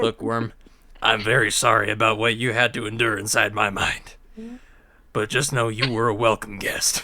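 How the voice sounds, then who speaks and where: A man's raspy, put-on character voice at medium pitch, moderate pace and monotone, flat intonation. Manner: apologetic, sincere.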